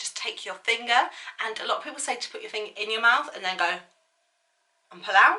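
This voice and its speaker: With a British accent, a woman of fairly high pitch talks at a very fast pace with ordinary pitch variation. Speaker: beauty vlogger. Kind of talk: makeup tutorial.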